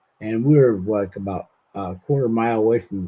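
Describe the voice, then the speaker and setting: A man with an unremarkable speaking voice talks at a fairly low pitch. His pace is moderate and his pitch variation ordinary. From northern California, Siskiyou County. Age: 60s. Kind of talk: interview testimony. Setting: friend's house.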